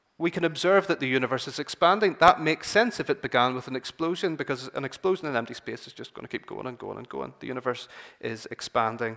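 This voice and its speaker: The speech is very fast, with hardly any pauses and lively intonation. The tone is bright and sharp, with vocal fry and big swings in loudness. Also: man, fairly high pitch for a man. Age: 20s. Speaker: church speaker and scientist. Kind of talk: church talk. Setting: church meeting. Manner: halting.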